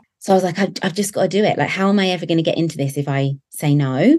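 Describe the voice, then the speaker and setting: The speaker is a woman. She has a southern English accent. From southern England. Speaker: nail technician and educator. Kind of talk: interview conversation.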